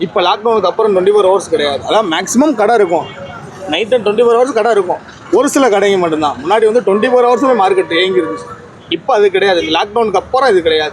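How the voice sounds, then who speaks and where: A man's high-pitched voice with lively intonation and very even loudness, over noticeable background noise. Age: 20s. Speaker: garland maker. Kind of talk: casual interview.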